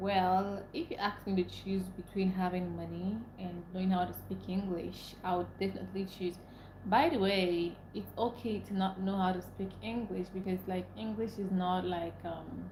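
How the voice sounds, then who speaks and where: A woman at a moderate pace with hardly any pauses, in audible room echo. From Nigeria (Igbo). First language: Igbo. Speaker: livestreamer. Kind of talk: live stream chat.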